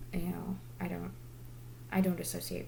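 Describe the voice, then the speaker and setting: A woman talks quietly at a moderate pace. The room echo is audible. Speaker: direct sales consultant and vlogger. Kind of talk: motivational talk to camera. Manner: quiet because it is late.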